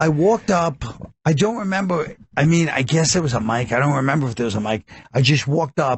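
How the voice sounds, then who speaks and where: At a fairly quick pace and with hardly any pauses, a man talks in a fairly high, somewhat breathy voice with lively intonation. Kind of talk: unsoothing.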